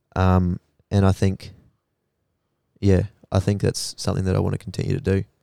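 A dark, mellow voice with an Australian accent, monotone and flat, at a fairly quick pace with long, frequent pauses, in a very clean, silent recording with a dry, close sound and no echo. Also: man, very deep, low pitch for a man. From Australia, Queensland (Rockhampton area). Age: 20s. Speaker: psychology student. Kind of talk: casual chat.

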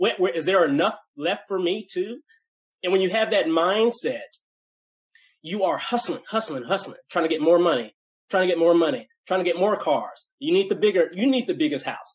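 With lively intonation, a man speaks in a high pitch. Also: moderate pace. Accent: American. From US South, Nashville, Tennessee. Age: 30s. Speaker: entrepreneur and author. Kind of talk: interview conversation.

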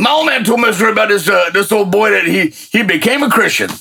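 The speech moves at a fairly quick pace with lively intonation. The voice is raised and projected. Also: man. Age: 60s. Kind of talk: casual spiritual conversation.

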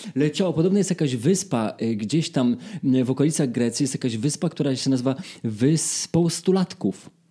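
At a moderate pace, a man speaks with lively intonation and very even loudness. His fairly high voice is somewhat breathy, with a dark, mellow tone. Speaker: podcast host, singer. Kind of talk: casual chat.

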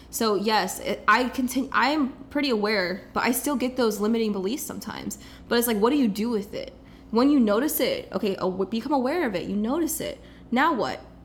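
Speaking at a fairly quick pace in an American accent, a woman uses a fairly high pitch with ordinary pitch variation, and audible room echo surrounds her voice. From US Midwest, Kansas City. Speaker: life coach. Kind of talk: casual interview.

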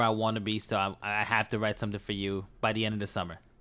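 A man speaks at a very fast pace in a New York accent. His pitch is medium. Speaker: podcast host. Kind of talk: casual chat.

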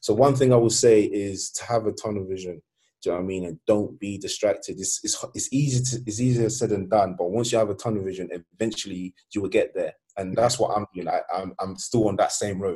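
Very fast, a man speaks in a fairly low, dark and mellow voice that is somewhat breathy, with ordinary pitch variation. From Sweden, Nigerian (Yoruba) family. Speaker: artist. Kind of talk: casual interview chat. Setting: at home.

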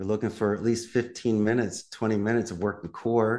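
A man's medium-pitched, ordinary speaking voice at a fairly quick pace over a quiet background. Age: 50s. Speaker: call center business owner. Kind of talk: interview conversation.

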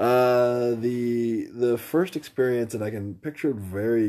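A man's medium-pitched voice, dark and mellow, with an American accent at a very slow pace. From US Midwest, Indiana. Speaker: host's husband. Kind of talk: casual chat.

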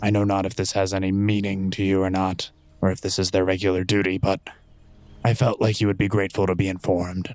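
A man puts on a character voice, pitched very deep and low. He rattles along at a very fast pace with monotone, flat intonation. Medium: actual play. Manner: articulate, formal.

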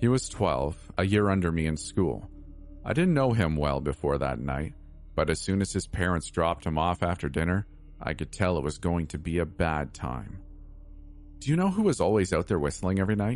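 Music plays in the background as a man speaks at a moderate pace. His pitch is very deep and low, with lively intonation. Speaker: horror story narrator. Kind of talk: spooky horror narration, hushed and suspenseful, read aloud as a first-person creepypasta. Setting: online video channel with outro.

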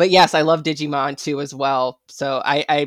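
A woman speaks in an enthusiastic, animated tone with a very deep, low pitch. The sound is dry and close with no echo. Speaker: TikTok creator and guest. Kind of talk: casual chat.

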